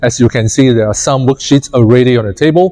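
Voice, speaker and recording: This is a man speaking. His pitch is medium. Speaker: workshop facilitator. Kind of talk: workshop presentation. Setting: room with live audience.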